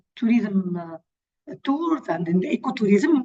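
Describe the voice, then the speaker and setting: A woman speaks at a fairly slow pace with a non-native accent. Her fairly high voice makes very wide pitch swings. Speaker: NGO representative presenting conservation project. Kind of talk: webinar presentation. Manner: halting, many fillers.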